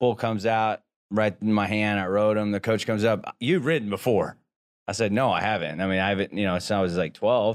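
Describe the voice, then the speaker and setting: An unremarkable speaking voice with an American accent, fairly quick, very even in loudness and fairly even in intonation, on a very clean recording with a silent background. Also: man, fairly low pitch for a man. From Boise, Idaho, with South Texas family roots. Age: 30s. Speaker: entrepreneur and former rodeo cowboy. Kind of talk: casual interview. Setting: studio.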